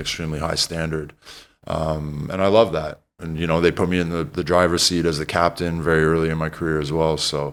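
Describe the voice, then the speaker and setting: Very fast and flat in a monotone, a man speaks at a very deep, low pitch with a Canadian accent. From Canada (Toronto). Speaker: retired basketball player and TV commentator. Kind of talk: casual podcast interview.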